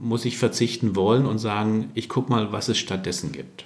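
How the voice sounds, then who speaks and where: A man with an ordinary speaking voice, medium pitch, ordinary pitch variation and a fairly slow pace. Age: 60s. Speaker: workplace health consultant. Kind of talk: interview.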